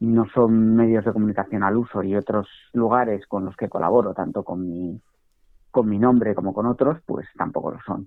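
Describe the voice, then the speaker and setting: A man's fairly low-pitched voice, an ordinary speaking voice. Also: fairly even intonation, moderate pace. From Spain, Basque Country (San Sebastián). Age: 40s. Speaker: financial educator and journalist. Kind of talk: podcast interview.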